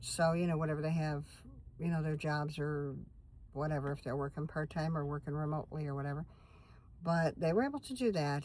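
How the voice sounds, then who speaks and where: This woman's voice is very deep and low in pitch, with fairly even intonation. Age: 60s. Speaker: van-dwelling vlogger. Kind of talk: casual chat. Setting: in a van. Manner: rambling, conversational.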